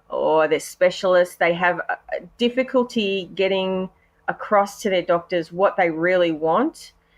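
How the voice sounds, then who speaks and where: A woman with an Australian accent at a medium pitch, fairly slow, with ordinary pitch variation. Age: 40s. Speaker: patient health advocate, cancer survivor. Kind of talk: podcast interview. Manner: hesitant, many fillers.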